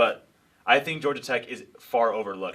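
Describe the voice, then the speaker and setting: This man's tone is bright and sharp. His pitch moves with ordinary variation. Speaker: sports podcast co-host. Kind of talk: casual chat. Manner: stuttering at times.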